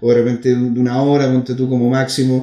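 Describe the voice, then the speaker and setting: Speaking at a fairly quick pace, a man with medium pitch has a dark, mellow tone. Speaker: podcast host. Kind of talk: casual interview.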